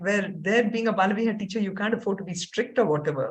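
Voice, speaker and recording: Speaking at a very fast pace, a woman has a fairly high, somewhat breathy voice with ordinary pitch variation. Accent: American. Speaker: Bhagavad Gita teacher and university dean. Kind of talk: casual chat.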